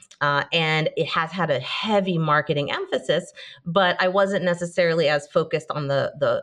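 Quiet surroundings and a woman's moderate pace. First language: Hebrew. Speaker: marketing executive. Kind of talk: casual interview chat.

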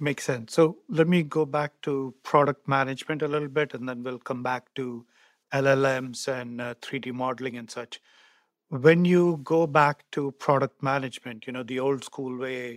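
A man's normal speaking voice at medium pitch, moderate in pace, with fairly even intonation and big swings in loudness, in a very clean recording with a silent background and a dry, close sound with no echo. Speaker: podcast host and marketing executive. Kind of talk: interview conversation.

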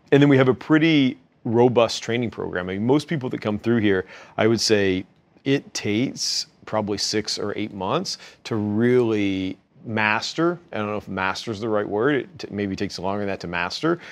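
At a moderate pace and a fairly low pitch, a man with an American accent talks in a normal speaking voice with ordinary pitch variation against a quiet background. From western Kentucky, US South. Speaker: company founder and CEO. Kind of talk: interview conversation. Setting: office.

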